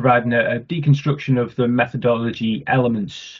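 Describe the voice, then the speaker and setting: The man's intonation stays fairly even throughout. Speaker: bid manager. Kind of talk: webinar introduction. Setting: video call. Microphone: webcam.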